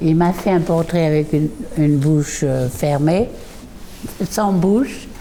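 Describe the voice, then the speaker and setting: Over noticeable background noise, a woman with a very deep, low pitch speaks at a very slow pace, with ordinary pitch variation, very even loudness and long, frequent pauses. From southern France and England. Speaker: artist and former painter's model. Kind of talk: reminiscing testimony. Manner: halting, with many hesitations.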